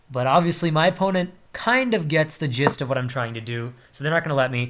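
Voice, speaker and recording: A man talks in a normal speaking voice with ordinary pitch variation. His pace is fairly quick. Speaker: chess streamer. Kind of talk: live game commentary.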